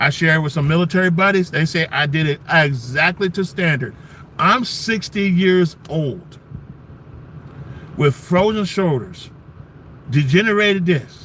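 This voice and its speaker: An animated man's fairly high-pitched voice over noticeable background noise. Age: 60s. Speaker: military veteran and benefits advocate selling pain patches. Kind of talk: casual livestream talk and product pitch.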